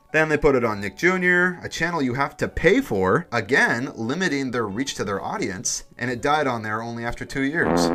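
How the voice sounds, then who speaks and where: Noticeable background noise sits under a man's medium-pitched voice as his pitch swings very widely at a moderate pace. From San Francisco, US West Coast. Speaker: YouTube reviewer. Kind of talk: video essay narration.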